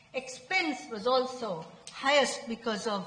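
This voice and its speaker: A woman with lively intonation, amid noticeable background noise and audible room echo. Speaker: researcher presenting at a conference. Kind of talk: conference presentation.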